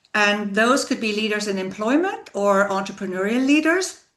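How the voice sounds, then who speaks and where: A woman with a non-native accent, a bright, sharp tone, and a medium pitch with ordinary variation, in audible room echo. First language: not English. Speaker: leadership coach. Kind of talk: interview conversation.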